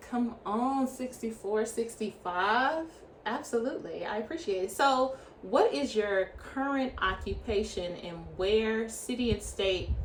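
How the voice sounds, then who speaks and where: A woman speaks at a fairly slow pace in an animated tone, with lively intonation and a fairly high pitch. Audible room echo and noticeable background noise come through. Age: young. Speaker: podcast host. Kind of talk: interview.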